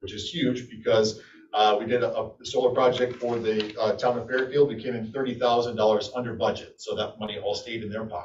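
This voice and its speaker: A man talks at a fairly quick pace with hardly any pauses. His voice is somewhat breathy and his intonation monotone and flat. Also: medium pitch for a man. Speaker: energy services contractor presenter. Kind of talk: business presentation to city council. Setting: city council meeting. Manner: fast.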